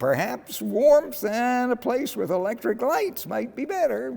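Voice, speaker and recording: A man adopts a put-on character voice, pitched extremely high and delivered at a fairly slow pace. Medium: read story. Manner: enthusiastic, casual.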